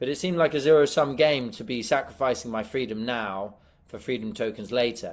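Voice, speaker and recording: A man's medium-pitched voice with a British accent, fairly quick, with ordinary pitch variation. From UK. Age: young. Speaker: adventurer and filmmaker. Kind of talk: interview.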